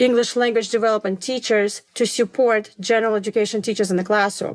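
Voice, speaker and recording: A woman's fairly high voice with a non-native accent and fairly even intonation, on a very clean recording with a silent background. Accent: foreign. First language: not English. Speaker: elementary school principal. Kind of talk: interview conversation.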